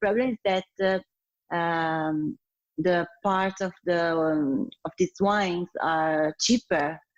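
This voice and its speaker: A woman with an Italian accent speaks very slowly at a fairly low pitch with ordinary pitch variation, the sound dry and close with no echo. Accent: Italian, non-native English. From Italy, Piedmont (Turin). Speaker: sommelier. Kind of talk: interview. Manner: hesitant, many fillers.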